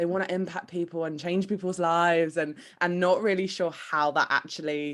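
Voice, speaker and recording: Her British accent comes through at a moderate pace. The woman's fairly low voice stays monotone and flat. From UK. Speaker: manifestation coach. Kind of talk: podcast interview.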